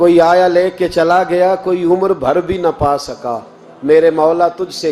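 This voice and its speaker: A man speaks at a high pitch while music plays in the background. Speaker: Islamic preacher giving a sermon. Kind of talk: religious sermon storytelling.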